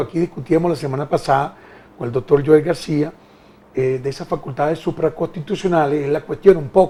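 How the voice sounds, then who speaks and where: A man talks at a fairly quick pace in a fairly high pitch. His pitch varies in an ordinary way. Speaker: TV talk show host. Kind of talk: political interview. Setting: TV studio, live. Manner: fast.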